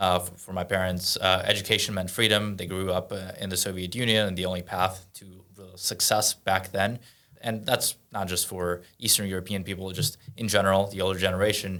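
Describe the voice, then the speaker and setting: A man with a Russian accent speaks quickly in a very deep, low pitch, his tone bright and sharp, his intonation monotone and flat, with hardly any pauses. His loudness swings widely, on a very clean recording with a silent background. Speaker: entrepreneur and event host. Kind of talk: casual podcast interview.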